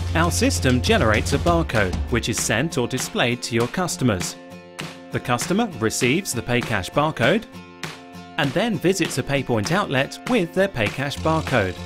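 With clear music in the background, a man speaks at a moderate pace, his pitch swinging very widely. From British. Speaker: voice actor. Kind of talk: corporate explainer narration. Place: studio. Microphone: studio mic.

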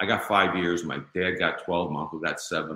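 With a Chicago accent, a man talks in a bright, sharp tone marked by vocal fry. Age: 60s. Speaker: author and former mob insider. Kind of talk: interview.

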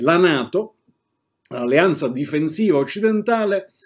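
Against a quiet background, a man speaks at a fairly slow pace. His intonation is lively. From Italy. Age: 60s. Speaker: political commentator. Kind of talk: political commentary monologue; political commentary. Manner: hesitant fillers. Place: home room.

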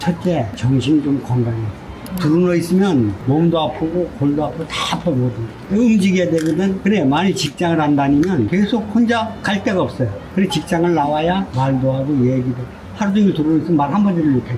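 A fairly high-pitched man with lively intonation and very even loudness, over noticeable background noise. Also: fairly quick pace. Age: 70s. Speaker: parking attendant and veteran rock climber. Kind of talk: street interview answer.

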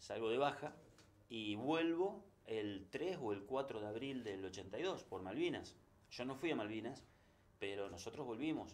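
In an ordinary speaking voice, a man at medium pitch talks at a fairly slow pace with lively intonation. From Argentina, Santa Fe. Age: 60s. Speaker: sports journalist. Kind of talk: interview. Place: studio.

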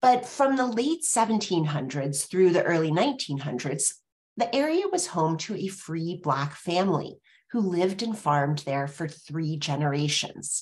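A woman's fairly low voice at a fairly slow pace, with very wide pitch swings. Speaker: webinar host. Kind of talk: webinar moderation. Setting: video call. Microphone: webcam.

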